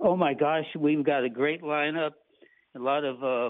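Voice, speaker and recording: A man with an American accent speaks at a fairly slow pace in an unremarkable speaking voice, his pitch fairly high. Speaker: tree nursery owner and arborist. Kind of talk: interview answering host questions.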